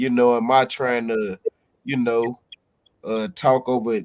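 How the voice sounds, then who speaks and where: Monotone, flat intonation marks a man's speech at a medium pitch. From Chicago. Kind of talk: casual chat. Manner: halting.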